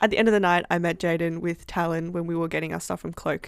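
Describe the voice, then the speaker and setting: An Australian accent marks a female speaker's voice in a very clean recording, the background silent. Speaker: university student. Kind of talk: casual chat.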